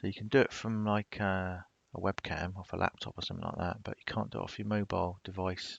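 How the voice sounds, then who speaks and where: The speech is very fast with fairly even intonation. The background is quiet. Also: man, fairly low pitch for a man. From southern England, Portsmouth, Hampshire. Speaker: YouTuber. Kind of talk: live stream chat. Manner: casual.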